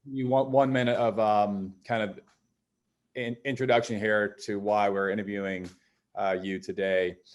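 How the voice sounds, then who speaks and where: A man has a plain, everyday voice, fairly low in pitch with fairly even intonation, at a moderate pace. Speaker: environmental lawyer and writer. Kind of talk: interviewer questions.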